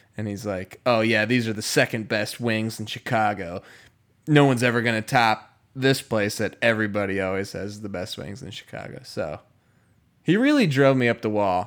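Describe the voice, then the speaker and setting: A raspy, put-on character voice moves at a moderate pace with fairly even intonation. The recording is very clean, with a silent background. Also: man, medium pitch for a man. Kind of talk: storytelling, recounting an irritating guy. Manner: upset, annoyed.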